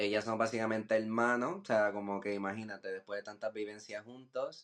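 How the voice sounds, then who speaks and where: Delivering his words in a monotone, flat way at a fairly quick pace, a man speaks at a fairly low pitch. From Puerto Rico, Humacao. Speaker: visual artist. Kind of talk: podcast interview.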